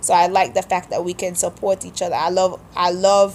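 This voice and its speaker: A woman with a Kittitian accent at a medium pitch and moderate pace. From St Kitts (Sandy Point, Frigate Bay). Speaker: vlogger. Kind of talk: accent tag vlog, casual monologue.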